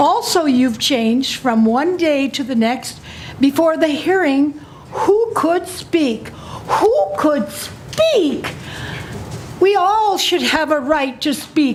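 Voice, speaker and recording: A woman with an American accent speaks very slowly at a high pitch, her voice swinging very widely up and down. Noticeable background noise and audible room echo surround her. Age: 80s+. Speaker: resident testifying at public hearing. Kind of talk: public hearing testimony. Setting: public meeting with audience. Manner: reading from written notes.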